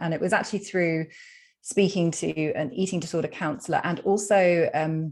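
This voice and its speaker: Over a quiet background, a woman with a British accent speaks at a moderate pace with ordinary pitch variation. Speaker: psychologist and food freedom coach. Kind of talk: podcast interview.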